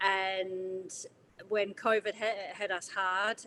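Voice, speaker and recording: In a New Zealand accent, a woman speaks at a medium pitch with a bright, sharp tone and monotone, flat intonation. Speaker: chef and baker. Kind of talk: livestream interview. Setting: livestream.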